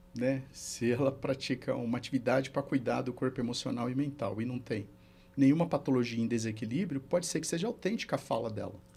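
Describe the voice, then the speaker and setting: With a plain, everyday voice, a man talks at a fairly quick pace and a medium pitch. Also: ordinary pitch variation. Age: 60s. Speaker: therapist and mentor. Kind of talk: podcast interview.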